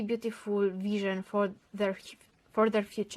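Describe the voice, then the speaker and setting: A woman with a non-native accent speaks at a medium pitch in a monotone, flat intonation. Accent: non-native English, says pronunciation rusty. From Romania. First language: Romanian. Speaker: tarot and rune card reader. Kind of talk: online divination reading. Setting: on camera, filmed video. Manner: halting, searching for words.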